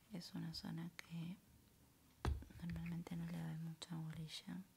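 A soft-spoken, somewhat breathy woman over light background noise. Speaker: content creator. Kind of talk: soft-spoken ASMR self-care talk. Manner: soft-spoken, hushed ASMR voice. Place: home room. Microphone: studio mic.

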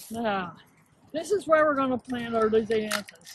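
With a high voice and lively intonation, a woman talks at a fairly slow pace in a dry, echo-free sound over light background noise. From Pennsylvania, USA. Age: 80s+. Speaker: flower gardener. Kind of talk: garden tour talk to camera. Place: garden.

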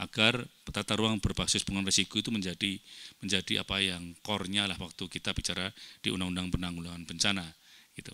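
A man talks at a very fast pace with a bright, sharp tone, ordinary pitch variation and a dry sound with no echo. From Indonesia. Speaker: government researcher, seminar speaker; speaker. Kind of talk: academic presentation. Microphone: handheld.

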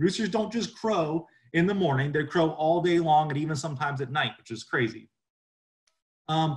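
At a fairly quick pace, a man speaks with ordinary pitch variation over a quiet background. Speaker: livestock educator. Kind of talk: webinar lecture. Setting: video call. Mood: friendly, informal.

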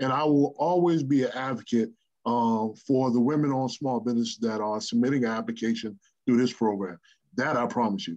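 A man's voice at a fairly quick pace, with ordinary pitch variation, over a quiet background. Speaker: government official and army veteran; presenter. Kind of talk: briefing. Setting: video call. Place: home room. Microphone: webcam.

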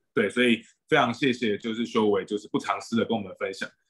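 Against a quiet background, a man is speaking. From Taiwan. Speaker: doctor and moderator; moderator. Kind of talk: webinar moderation. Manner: hesitant. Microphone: video call.

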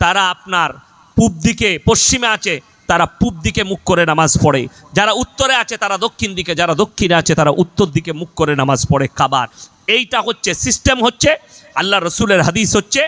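Raising and projecting his voice, a man speaks at a high pitch in an animated tone with lively intonation, in a dry, close sound with no echo. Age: 30s. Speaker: Islamic preacher. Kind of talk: sermon.

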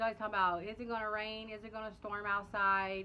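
A Southern US accent from a woman. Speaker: family vlogger. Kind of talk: casual vlog chat to camera. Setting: outdoors on porch, filming on phone. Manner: casual, chatty. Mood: relaxed, chatty. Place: home room. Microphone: phone near.

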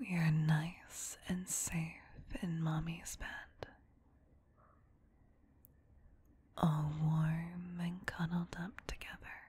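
A soft-spoken voice whispers. The tone is soothing. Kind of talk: soft comforting roleplay. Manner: soft soothing whisper, sleep-aid tone.

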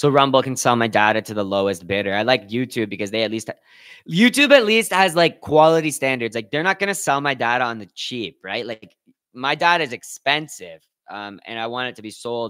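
Quiet in the background, a man with a Canadian accent talks at a fairly quick pace in a bright, sharp, animated tone. His intonation is lively, with big swings in loudness. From Canada. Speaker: streamer. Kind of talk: casual chat. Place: home room. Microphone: studio mic.

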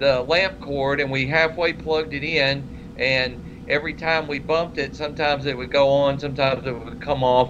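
Talking at a moderate pace with hardly any pauses, a man keeps a monotone, flat intonation against noticeable background noise. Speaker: co-host. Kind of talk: casual technical discussion. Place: home room. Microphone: webcam.

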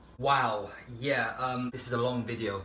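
The speaker has a British accent. Room echo can be heard. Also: man. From Albania, raised in England from age 6. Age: 20s. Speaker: YouTuber; vlogger. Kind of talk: casual Q&A video monologue. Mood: joking, sarcastic comedic tone. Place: kitchen. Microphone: phone near.

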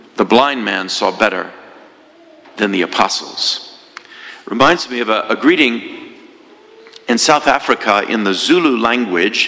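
A man talking at a fairly slow pace amid noticeable background noise. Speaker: priest giving homily. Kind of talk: homily, sermon. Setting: church. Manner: storytelling, earnest, conversational.

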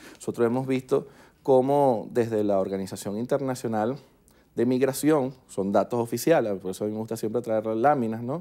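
A man with a dark, mellow tone speaks at a moderate pace and ordinary pitch variation over a quiet background. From Venezuela. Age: 30s. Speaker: politician. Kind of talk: TV news interview. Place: studio. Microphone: lapel.

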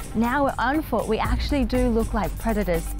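Over clear music in the background, a woman speaks at a moderate pace in a dry sound with no echo. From Australia. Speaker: TV host. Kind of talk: travel show presenting to camera. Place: open country. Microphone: lapel.

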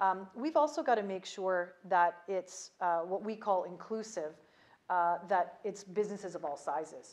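Here a woman talks with a Canadian accent at medium pitch. Her pace is moderate. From Canada. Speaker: ambassador; interviewee. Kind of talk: interview. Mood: calm, measured, some laughing. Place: home room. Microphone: lapel.

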